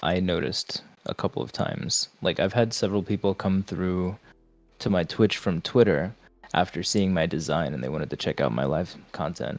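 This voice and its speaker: Very deep and low, a man's voice shows vocal fry and lively intonation on a very clean recording with a silent background. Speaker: vtuber streamer. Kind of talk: casual chat. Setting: live stream podcast.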